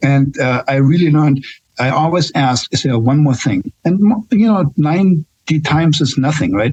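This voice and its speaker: With a slight German accent, a man speaks somewhat breathily at a moderate pace in a fairly high pitch, with lively intonation, very even loudness, and a dry, close sound with no echo. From Germany. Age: 60s. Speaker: nurse. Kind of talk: casual chat. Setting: podcast. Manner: halting.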